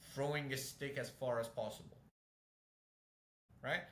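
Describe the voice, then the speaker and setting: A fairly quick pace and a non-native accent, with audible room echo. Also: man. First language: not English. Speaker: fitness coach. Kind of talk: casual chat.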